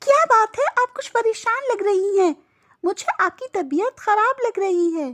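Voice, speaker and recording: A female-sounding cartoonish character voice pitched extremely high for a woman moves along at a moderate pace. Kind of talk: religious blessing. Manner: affectionate, earnest.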